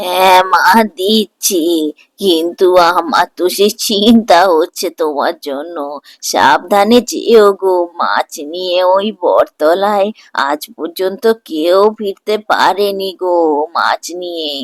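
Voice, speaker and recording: A cartoonish character voice, female-sounding and at a medium pitch, comes through. It moves at a very slow pace. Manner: chatty, motherly.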